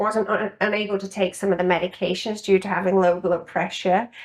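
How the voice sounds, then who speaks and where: A woman's voice with a British accent, medium in pitch, with fairly even intonation. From UK. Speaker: registered nurse and spa owner. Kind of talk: podcast interview.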